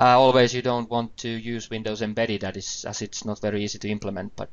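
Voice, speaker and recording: A man talks very fast with a Finnish accent. His fairly low voice stays flat and monotone. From Finland. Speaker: IT trainer. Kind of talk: webinar presentation. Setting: online webinar. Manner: hesitant, with fillers.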